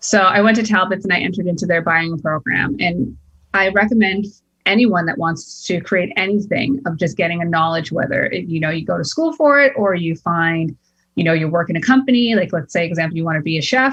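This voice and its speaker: With an ordinary speaking voice, a woman talks at a fairly quick pace, her fairly low pitch carried by lively intonation. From Boston, US. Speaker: entrepreneur. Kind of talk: interview.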